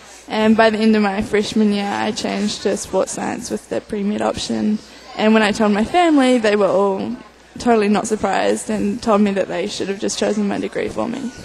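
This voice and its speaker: Fairly quick pace with crowd noise in the background. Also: woman. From New Zealand. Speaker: college athlete (rower). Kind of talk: radio interview.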